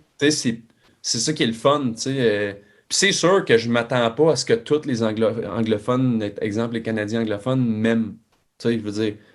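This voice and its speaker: A man's medium-pitched voice moves at a moderate pace on a very clean recording with a silent background. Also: ordinary pitch variation. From Quebec. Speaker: country singer. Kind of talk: casual chat. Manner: halting.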